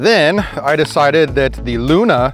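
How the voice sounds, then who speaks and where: A man speaks with faint music in the background. The sound is dry, with no echo. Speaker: disc golf video host. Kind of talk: casual vlog chat. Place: open country. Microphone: lapel.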